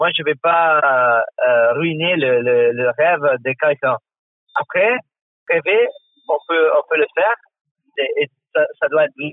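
Someone speaks in an Italian accent at a very slow pace. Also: man, fairly high pitch for a man, lively intonation. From northern Italy (Trentino, Val di Fiemme). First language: Italian (speaking French). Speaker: former Olympic figure skater and coach. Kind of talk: interview. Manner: halting, with repetitions and fillers.

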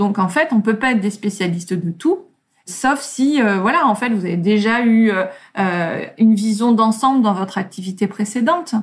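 With lively intonation and a somewhat breathy, fairly high voice, a woman talks at a moderate pace. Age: 40s. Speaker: creative entrepreneur and author. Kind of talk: interview.

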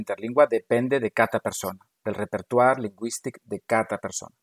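A man at a medium pitch and moderate pace, with ordinary pitch variation and a dry, close sound with no echo. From Galicia, Spain. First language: Galician and Spanish (speaking French). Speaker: university language professor. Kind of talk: interview.

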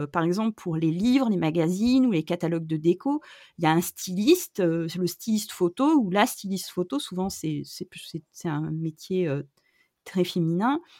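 Over a silent background in a very clean recording, a woman speaks at a moderate pace. Her tone is dark and mellow, her pitch fairly low. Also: dry, close sound with no echo. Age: 40s. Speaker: photographer. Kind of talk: interview. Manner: hesitant, many fillers.

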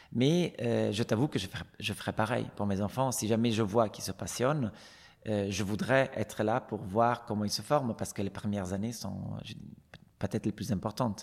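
Speaking in an Italian accent, a man with a fairly low voice keeps a moderate pace and ordinary pitch variation. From Italy, Venice. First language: Italian (speaking French). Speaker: retired ballet dancer. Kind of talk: interview.

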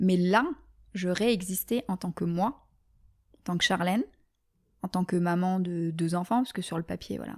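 On a very clean recording with a silent background, a woman speaks at a moderate pace and a medium pitch. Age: 30s. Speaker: medical sales rep. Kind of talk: casual interview. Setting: in-person at host's home.

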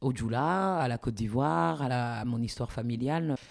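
This is a very clean recording with a silent background. The speaker talks fairly slowly, pitch varying in an ordinary way. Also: woman. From Paris, France. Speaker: academic, author. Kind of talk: interview. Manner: halting.

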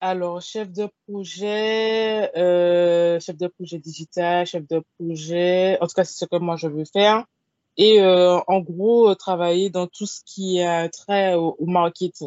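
With big swings in loudness, a woman talks at a very slow pace in a fairly low pitch and fairly even intonation. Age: 20s. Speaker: literary blogger and author. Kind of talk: casual interview.

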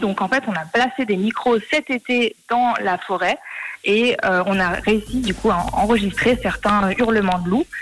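Speaking very slowly, a woman with a fairly high pitch uses lively intonation against noticeable background noise. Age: 20s. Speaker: student and startup co-founder. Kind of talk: radio interview.

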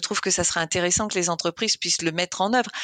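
A woman's very fast speech at a medium pitch with ordinary pitch variation, dry and close with no echo, over a quiet background. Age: 50s. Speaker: engineering coach and masters swimmer. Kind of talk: interview. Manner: halting.

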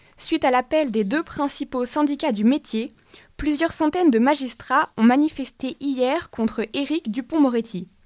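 A woman's high-pitched voice at a fairly slow pace, with ordinary pitch variation, dry, close sound with no echo and a very clean recording with a silent background. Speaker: radio news presenter. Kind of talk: news reading. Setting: studio. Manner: formal.

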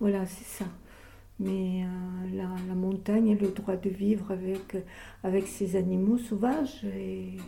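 A woman speaks at a very slow pace with a medium pitch and a dark, mellow, somewhat breathy tone. Her intonation stays fairly even, and the room echo is audible. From French Pyrenees, Comminges. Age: 80s+. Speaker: author on women mountaineers. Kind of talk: interview. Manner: halting, many hesitations.

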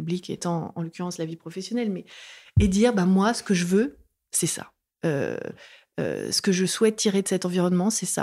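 A medium-pitched woman's dark, mellow voice at a moderate pace, with ordinary pitch variation, long, frequent pauses, and a very clean recording over a silent background. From France. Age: 30s. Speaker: author. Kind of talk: interview. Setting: host's apartment.

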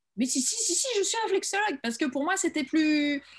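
With lively intonation and a moderate pace, a woman talks against a quiet background. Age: 50s. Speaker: holistic coach. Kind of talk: interview. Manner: halting.

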